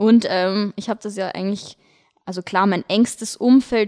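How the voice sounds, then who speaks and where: A woman with a Viennese accent talks at a moderate pace, her tone dark and mellow. The sound is dry and close, with no echo. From Austria, Vienna. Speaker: lifestyle blogger, podcast co-host. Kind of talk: casual chat.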